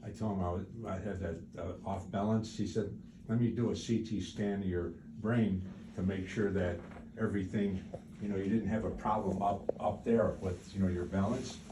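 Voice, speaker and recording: Speaking at a moderate pace, a man with a fairly low, dark and mellow voice keeps a flat, monotone delivery, somewhat breathy, with audible room echo around him. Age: 80s+. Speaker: patient. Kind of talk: medical consultation. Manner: halting.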